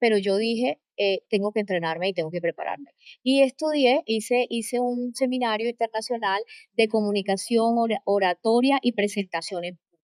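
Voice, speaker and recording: With a Colombian coastal accent, a woman speaks at a moderate pace in a fairly high pitch with ordinary pitch variation, her voice dry and close with no echo on a very clean recording with a silent background. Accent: Colombian coastal (costeño). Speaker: leadership coach and trainer. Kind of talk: interview.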